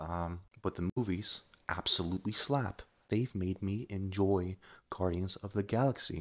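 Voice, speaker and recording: The voice belongs to a man with a very deep, low pitch. The recording is very clean, with a silent background. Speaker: YouTuber, commentary vlogger. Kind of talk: casual rant vlog. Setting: bedroom at home, late at night. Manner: rambling, hesitant with fillers.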